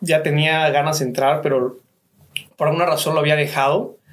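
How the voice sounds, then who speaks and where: A fairly high-pitched man moves through his words at a fairly quick pace. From Cancún, Mexico. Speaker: real estate businessman. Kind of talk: radio interview.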